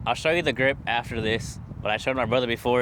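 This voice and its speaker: Noticeable background noise sits behind a man speaking at a very fast pace with fairly even intonation. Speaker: vlogger and golf coach. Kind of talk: tutorial. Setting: outdoors at golf driving range. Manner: casual, addresses viewers as chat.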